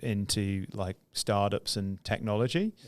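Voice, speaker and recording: On a very clean recording with a silent background, a man with a British accent talks at a fairly slow pace and a fairly low pitch. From UK. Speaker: entrepreneur. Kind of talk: casual interview chat. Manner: hesitant, many fillers.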